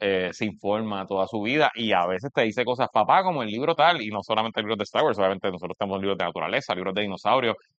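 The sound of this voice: A man's fairly low pitch, with a fairly bright, clear, smooth tone and ordinary pitch variation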